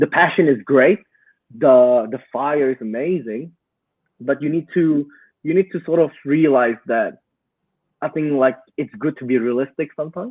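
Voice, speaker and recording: There's a man at a fairly high pitch with ordinary pitch variation. He talks at a moderate pace with long, frequent pauses. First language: not English. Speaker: digital marketing entrepreneur. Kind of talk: podcast interview. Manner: halting.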